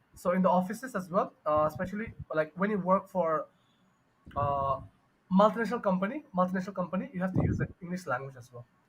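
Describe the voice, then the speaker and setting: A man with a Bengali accent, a high pitch and lively intonation, big swings in loudness, at a very fast pace. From Bangladesh. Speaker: English teacher. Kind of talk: online tutoring conversation. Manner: halting, many fillers.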